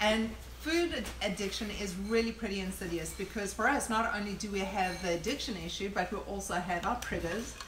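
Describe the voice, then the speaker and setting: Speaking at a fairly quick pace with hardly any pauses, a woman with a medium-pitched voice uses ordinary pitch variation, and the recording has audible room echo and noticeable background noise. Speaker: recovery meeting co-host. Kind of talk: recovery meeting talk. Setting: live stream.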